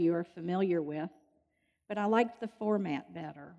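A woman with a dark, mellow tone speaks at a moderate pace, her medium pitch showing ordinary pitch variation. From Louisville, Kentucky. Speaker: retired nurse giving faith talk. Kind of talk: testimony.

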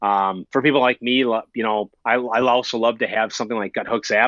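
A man with a Minnesotan accent speaks at a moderate pace in a medium pitch with a bright, sharp tone. His fairly even intonation is recorded dry and close with no echo, against a quiet background. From US Minnesota. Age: 30s. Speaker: long-distance hiker and YouTuber. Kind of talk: casual interview chat.

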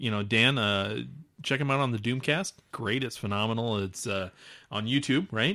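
A man with a normal speaking voice, medium in pitch with ordinary pitch variation, speaking with an American accent at a moderate pace. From Omaha, Nebraska area. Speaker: podcast host. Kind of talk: casual chat.

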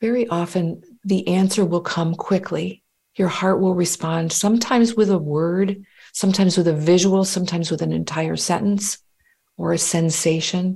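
Her voice, that of a woman, is somewhat breathy with a dark, mellow tone and fairly even intonation. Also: fairly low pitch for a woman, moderate pace. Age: 50s. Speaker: life coach. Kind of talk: guided meditation; interview conversation.

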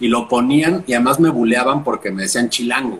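The man talks at a moderate pace. Behind him there is noticeable background noise. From Mexico City. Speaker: journalist and punk musician. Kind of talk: casual chat.

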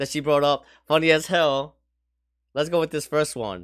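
The man's voice sits fairly high in pitch. Everything is very clean, with silence behind him. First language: Spanish. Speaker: podcast co-host. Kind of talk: casual chat.

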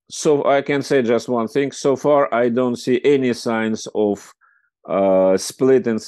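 Dark and mellow in tone, a man with a Russian accent talks at a fairly slow pace against a quiet background. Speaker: foreign policy expert and magazine editor. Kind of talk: interview. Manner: hesitant, many fillers.

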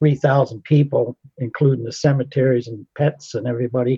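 Somewhat breathy, a man speaks at a moderate pace in a fairly high pitch. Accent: American. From Pennsylvania. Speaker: retired navy sailor. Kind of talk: casual reminiscence.

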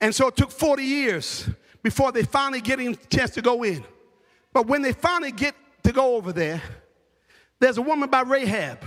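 A man's animated voice at an extremely high pitch, fairly quick in pace, with ordinary pitch variation and long, frequent pauses. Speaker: preacher. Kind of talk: sermon delivered live to a congregation. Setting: church with congregation. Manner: urgent, exhorting, fervent, pressing listeners to act.

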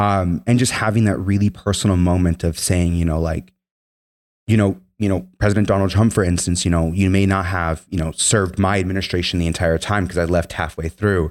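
In a very clean recording with a silent background, a man with an American accent speaks at a fairly quick pace in a very deep, low voice with fairly even intonation. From Minnesota, US. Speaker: Marine veteran and political organizer. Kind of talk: interview.

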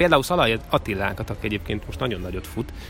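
The delivery is very fast. Music plays in the background. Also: man. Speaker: sports reporter and commentator. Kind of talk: casual chat. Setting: outdoors.

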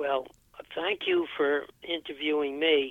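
A man's fairly high voice at a fairly slow pace. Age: 80s+. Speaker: retired physician and senior athlete. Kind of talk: interview. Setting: phone call. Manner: halting.

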